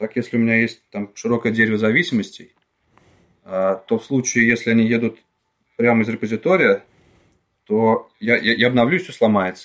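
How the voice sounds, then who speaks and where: Long, frequent pauses break up a man's speech, which moves at a moderate pace with a medium pitch and ordinary pitch variation. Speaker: free software developer. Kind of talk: casual chat. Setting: remote podcast recording.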